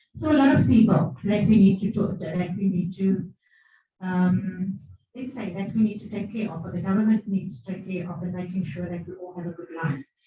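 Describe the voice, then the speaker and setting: A woman speaks at a medium pitch and moderate pace, with ordinary pitch variation. Her loudness swings widely, and the room echo is audible. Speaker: academic. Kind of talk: conference presentation. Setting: conference hall, hybrid event.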